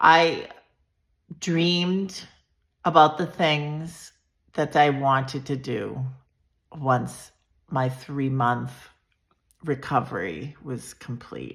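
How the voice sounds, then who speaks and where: A woman with a very deep, low pitch and ordinary pitch variation speaks at a very slow pace, leaving long, frequent pauses. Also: big swings in loudness. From Massachusetts, south of Boston. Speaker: vlogger sharing personal health story. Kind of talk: personal storytelling monologue. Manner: loud.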